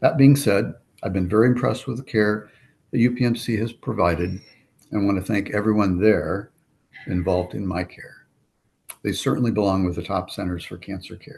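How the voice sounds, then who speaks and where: Speaking at a fairly quick pace, a man with a fairly low pitch and ordinary pitch variation sounds somewhat breathy, leaving long, frequent pauses while his loudness swings widely. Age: 60s. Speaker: cancer patient. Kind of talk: testimony. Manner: formal.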